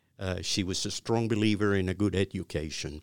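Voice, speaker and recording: A man with a fairly low voice is heard on a very clean recording with a silent background. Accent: Cuban. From Cuba (Havana). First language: Spanish. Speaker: retired business executive. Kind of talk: interview. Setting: studio. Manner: halting.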